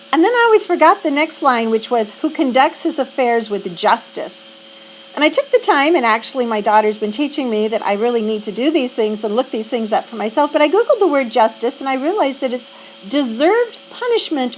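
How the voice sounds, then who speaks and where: Over noticeable background noise, a woman speaks fairly quickly in a high pitch with lively intonation. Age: 60s. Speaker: reflection vlogger. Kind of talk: personal reflection monologue. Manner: halting, with fillers.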